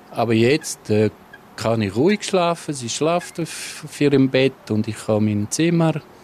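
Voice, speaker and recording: There is noticeable background noise behind this man. He talks at a fairly slow pace with lively intonation. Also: medium pitch for a man. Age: 50s. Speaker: husband and caregiver. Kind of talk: interview.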